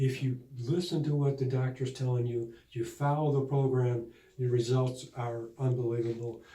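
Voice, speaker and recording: A man's medium-pitched, somewhat breathy voice with a dark, mellow tone, monotone, flat intonation, an American accent, a moderate pace and audible room echo. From Buffalo, New York. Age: 60s. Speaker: patient. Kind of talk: testimonial interview. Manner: halting.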